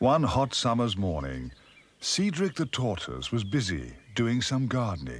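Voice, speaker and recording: A man's fairly low voice with vocal fry, very wide pitch swings and a fairly slow pace. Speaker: narrator. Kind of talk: children's TV story narration. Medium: puppet.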